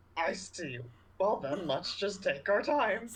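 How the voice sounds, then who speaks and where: This put-on character voice moves through very wide pitch swings. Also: man, high pitch for a man, fairly slow pace. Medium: actual play. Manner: slow, measured.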